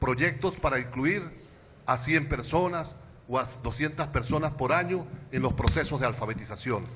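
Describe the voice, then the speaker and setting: A man's medium-pitched voice at a moderate pace, very even in loudness, with ordinary pitch variation. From Venezuela, Táchira state. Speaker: education activist and intellectual. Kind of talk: panel talk.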